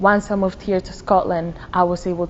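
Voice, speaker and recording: In a Spanish accent, a woman with a fairly low pitch speaks at a moderate pace in a monotone, flat intonation. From Dominican Republic. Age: 20s. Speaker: university student. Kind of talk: interview.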